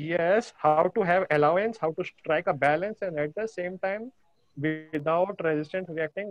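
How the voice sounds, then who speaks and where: A man talks at a high pitch with ordinary pitch variation while music plays in the background. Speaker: program participant. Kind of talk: question and answer. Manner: fast; hesitant, many fillers.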